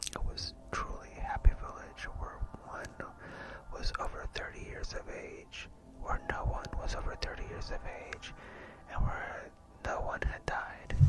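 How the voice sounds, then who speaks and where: In a whisper, the speaker goes rather slowly, stopping often for long stretches while clear background noise continues. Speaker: ASMR artist. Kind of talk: ASMR book reading. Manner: whispered.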